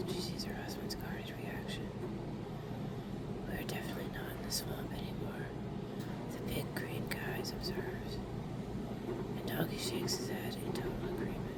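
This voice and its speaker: Someone whispers at a moderate pace. Noticeable background noise is present. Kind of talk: ASMR whispered card reading. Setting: AC and fan background noise. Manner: whispered.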